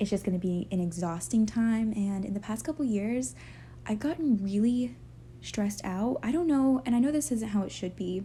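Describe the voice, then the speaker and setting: Somewhat breathy and dark, mellow in tone, a woman speaks at a moderate pace with lively intonation and a fairly high pitch. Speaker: lifestyle vlogger. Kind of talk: casual chat. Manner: halting.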